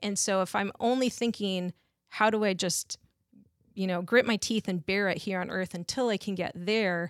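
A woman's medium-pitched, ordinary speaking voice in a very clean recording with a silent background, dry and close with no echo. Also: fairly even intonation, moderate pace. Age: 40s. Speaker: guest sharing personal faith story. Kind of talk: testimony.

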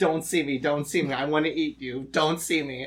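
Putting on a growling character voice, a man speaks at a fairly high pitch and a moderate pace. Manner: snarling, hungry.

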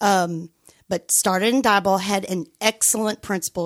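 In a Texan accent, a woman speaks at a moderate pace with medium pitch and fairly even intonation, in a very clean recording with a silent background and a dry, close sound with no echo. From West Texas and southeastern New Mexico. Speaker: school principal. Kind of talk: interview. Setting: studio.

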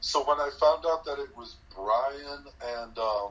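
A man talks at a fairly slow pace with medium pitch and a fairly bright tone. His pitch varies in an ordinary way.

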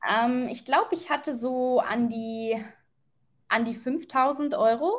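Very slow speech from a woman, high in pitch with ordinary pitch variation. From Germany. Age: 20s. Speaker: working holiday traveller. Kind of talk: casual interview.

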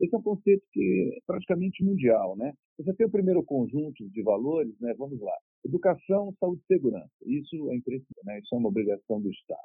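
Talking at a very fast pace, a man uses a fairly high pitch with very wide pitch swings. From Brazil, São Paulo. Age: 50s. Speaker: retired air force officer and mayoral pre-candidate. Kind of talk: interview. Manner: calm.

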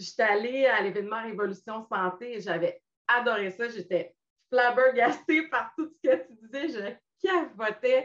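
A woman speaks fairly slowly in an unremarkable speaking voice, pitched fairly high. Her loudness swings widely, and her intonation is lively. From Quebec, Montmagny. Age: 50s. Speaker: weight-loss client sharing her story. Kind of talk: interview testimony. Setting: live video stream.

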